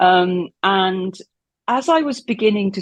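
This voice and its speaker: A woman with an unremarkable speaking voice talks at medium pitch with lively intonation. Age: 60s. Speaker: former cult member. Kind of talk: interview.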